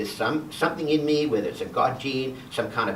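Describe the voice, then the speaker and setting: A man with an Australian accent talks at a fairly quick pace. Noticeable background noise and audible room echo are present. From Western Australia. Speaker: guest presenter, healthcare researcher. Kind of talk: personal talk to a church class. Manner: fast; loud.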